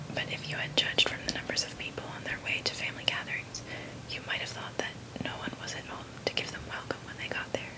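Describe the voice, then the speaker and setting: Someone whispers at a fairly quick pace against noticeable background noise. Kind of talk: whispered audiobook reading of a classic novel, ASMR. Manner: whispered.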